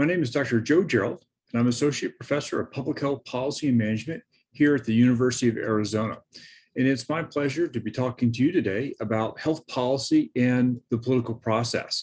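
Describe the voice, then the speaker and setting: A man speaks at a very fast pace with a medium pitch and ordinary pitch variation. The background stays quiet. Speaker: professor. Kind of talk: lecture. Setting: recorded presentation with screen share.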